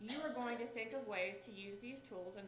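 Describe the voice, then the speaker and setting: A woman with a West Virginia accent speaks at a fairly slow pace with ordinary pitch variation, and audible room echo surrounds her voice. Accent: West Virginia twang. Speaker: state director for a senator. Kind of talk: speech.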